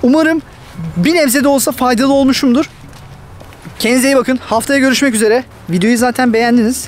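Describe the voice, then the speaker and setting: Over noticeable background noise, a man with an extremely high pitch speaks at a fairly quick pace, leaving long, frequent pauses, with ordinary pitch variation and very even loudness. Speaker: YouTuber giving migration advice. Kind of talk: casual vlog talk to camera. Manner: fast.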